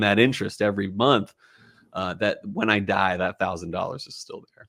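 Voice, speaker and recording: With a slight Philadelphia accent, a man speaks at a fairly low pitch that varies in an ordinary way. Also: very clean recording, silent background. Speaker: whiskey podcast host. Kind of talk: casual chat.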